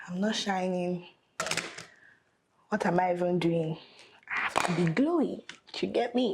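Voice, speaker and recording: At a fairly slow pace, a woman talks at a medium pitch with ordinary pitch variation and long, frequent pauses. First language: not English. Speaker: makeup artist. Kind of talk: makeup tutorial chat.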